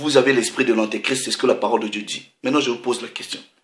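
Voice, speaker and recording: Audible room echo surrounds this man's voice. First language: not French (speaking French). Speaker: religious preacher. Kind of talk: sermon.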